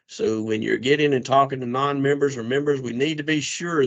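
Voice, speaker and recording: Against a quiet background, a man talks at a fairly quick pace. His pitch is medium, with ordinary pitch variation. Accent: Southern US. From South Carolina. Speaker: association membership co-chair. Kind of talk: conference call announcement.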